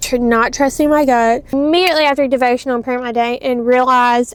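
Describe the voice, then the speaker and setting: The speaker is a woman with a Louisiana accent and a high pitch. Her intonation is fairly even, and the recording is very clean with a silent background. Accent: US Southern (Louisiana). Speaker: home baker vlogger. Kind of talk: casual vlog chat. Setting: at home, seated.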